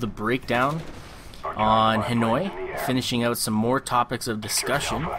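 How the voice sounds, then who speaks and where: Against noticeable background noise, a man with a Canadian accent speaks at a moderate pace in a medium pitch with ordinary pitch variation. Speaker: gaming commentator. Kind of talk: gameplay commentary. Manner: casual, rambling with fillers.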